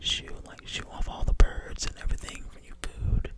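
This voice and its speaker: A whispered voice comes through over noticeable background noise. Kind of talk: ASMR casual talk to camera.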